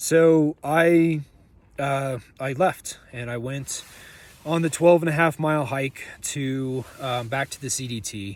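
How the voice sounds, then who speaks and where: At a very slow pace, a man speaks with fairly high pitch and ordinary pitch variation. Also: big swings in loudness. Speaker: thru-hiker vlogger. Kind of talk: video diary. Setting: in a tent outdoors. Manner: loud; casual, filler-heavy.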